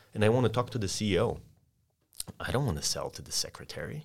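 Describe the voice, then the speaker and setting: In a Polish accent, a man talks at a very fast pace, his medium-pitched voice somewhat breathy. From Poland. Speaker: sales consultant. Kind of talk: podcast interview with role-play. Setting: studio.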